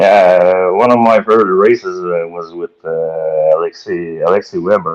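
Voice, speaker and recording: A man speaks with a strong Quebec accent. His pace is moderate. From Quebec, Valleyfield. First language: French. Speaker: boat racing driver. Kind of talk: podcast interview. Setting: live-streamed podcast. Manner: halting, many fillers.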